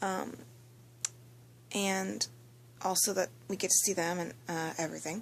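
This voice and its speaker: The woman speaks quietly at a fairly slow pace. Her pitch is medium, with ordinary variation. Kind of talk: casual anime episode review talk. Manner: quiet, low-volume.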